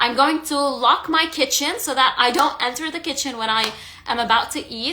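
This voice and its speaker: A woman with a non-native accent uses a raised, projected voice at a moderate pace. Her pitch is high with ordinary variation, and there is noticeable background noise. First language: not English. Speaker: stress eating coach. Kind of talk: live stream talk. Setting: Instagram live. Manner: halting, with self-corrections.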